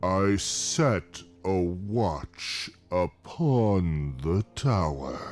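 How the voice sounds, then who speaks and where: A man in a put-on character voice speaks at a very slow pace with hardly any pauses, his pitch very deep and low, as music plays in the background. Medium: machinima. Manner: slow, deliberate, humming pauses.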